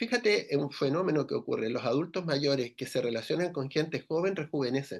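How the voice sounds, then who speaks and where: Delivered in a plain, everyday voice, the speech moves at a fairly quick pace with hardly any pauses and lively intonation over a quiet background. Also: man, fairly high pitch for a man. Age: 60s. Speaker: radio co-host. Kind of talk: radio interview conversation.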